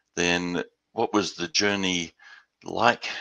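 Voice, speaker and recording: A man talks with an Australian accent. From Western Australia. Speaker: business development executive. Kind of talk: webinar presentation. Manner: halting, many repeated words.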